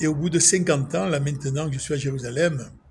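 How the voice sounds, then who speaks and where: This is a man whose voice sits fairly high in pitch. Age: 60s. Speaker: religious vlogger. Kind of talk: spiritual monologue. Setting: outdoors at sunset. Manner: emotional, emphatic.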